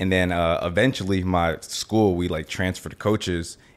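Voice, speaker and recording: Speaking at a moderate pace, a man uses a very deep, low pitch and a monotone, flat intonation. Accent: American. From Miami, Florida. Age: 20s. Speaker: e-commerce entrepreneur. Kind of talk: interview.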